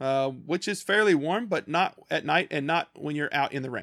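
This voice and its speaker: With a Kentucky accent, a man talks at a moderate pace in a fairly high voice with lively intonation, in a very clean recording with a silent background and a dry, close sound with no echo. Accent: Southern US (Kentucky). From rural small-town Kentucky. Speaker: missionary and podcast co-host. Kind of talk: casual chat. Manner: halting, many repeated words.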